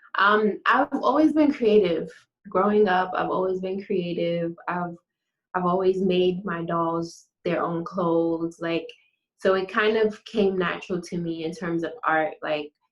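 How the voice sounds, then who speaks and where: A woman at a medium pitch and fairly slow pace, with ordinary pitch variation. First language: French. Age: young. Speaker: fashion designer, business owner. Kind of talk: interview. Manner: halting.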